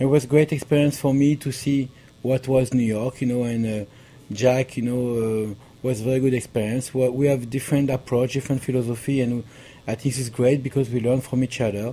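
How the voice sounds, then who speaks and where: Monotone and flat in intonation, a man with a strong French accent speaks at a fairly quick pace and medium pitch. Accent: thick French. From France. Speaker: pastry chef. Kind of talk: interview. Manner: halting.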